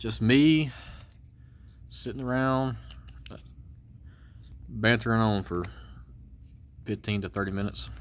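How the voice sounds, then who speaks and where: A man with a strong Georgia accent talks at a medium pitch with ordinary pitch variation and long, frequent pauses. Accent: thick Georgia Southern. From Georgia, US South. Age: adult. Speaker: card collector YouTuber. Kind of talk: casual card-break commentary. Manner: fast.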